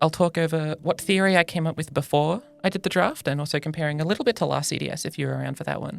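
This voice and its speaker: Music plays behind a woman whose very deep, low voice races along at a very fast pace with hardly any pauses and fairly even intonation. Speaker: card game content creator. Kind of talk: casual commentary to camera, podcast-like. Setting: studio.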